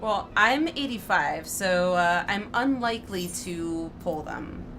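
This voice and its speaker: Over audible room echo, a woman speaks at a very slow pace with lively intonation. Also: medium pitch for a woman. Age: 30s. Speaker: gaming streamer. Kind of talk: casual live-stream commentary.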